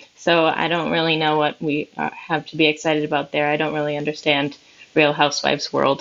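Over noticeable background noise, a woman talks at a fairly quick pace. Her very deep, low voice stays monotone and flat. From Minnesota. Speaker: news reporter. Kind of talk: casual chat.

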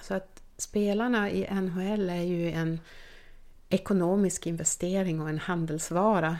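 This very clean recording has a silent background. A woman talks at a fairly slow pace with fairly even intonation. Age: 50s. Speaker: team doctor. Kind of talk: interview.

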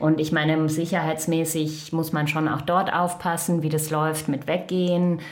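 A woman speaks at a fairly slow pace in a very deep, low voice with monotone, flat intonation. Audible room echo and noticeable background noise accompany her. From Germany, Lower Rhine (Krefeld). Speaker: United Nations staff member. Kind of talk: interview conversation. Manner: hesitant, many fillers.

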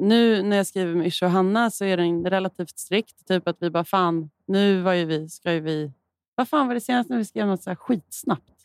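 In a normal speaking voice, a woman talks at a moderate pace and medium pitch with lively intonation, and the sound is dry and close with no echo. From Malmö, southern Sweden. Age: 30s. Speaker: singer-songwriter. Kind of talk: casual chat.

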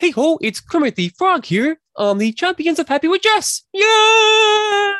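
At a fairly slow pace, the speaker performs in a put-on character voice. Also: woman, extremely high pitch for a woman. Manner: cheerful, upbeat.

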